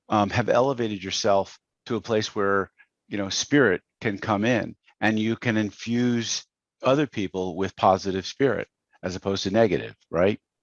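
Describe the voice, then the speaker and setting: A man with a normal speaking voice, fairly low in pitch, at a moderate pace with fairly even intonation, in a dry, close sound with no echo against a quiet background. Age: 60s. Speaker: business coach. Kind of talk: podcast interview. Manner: conversational, many fillers.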